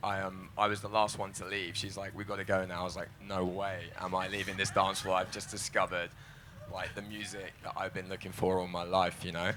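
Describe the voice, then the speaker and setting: Speaking fairly quickly in a London accent, a man with a very deep, low voice keeps a monotone, flat intonation over noticeable background noise. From London, England. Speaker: psytrance producer and DJ. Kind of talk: panel discussion.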